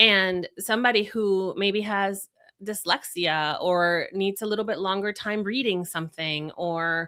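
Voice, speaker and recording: A woman of medium pitch talks at a fairly slow pace with fairly even intonation. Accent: Spanish. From Venezuela, then Florida. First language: Spanish. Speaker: communication strategist and speaker. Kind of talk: podcast interview. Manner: conversational with many fillers.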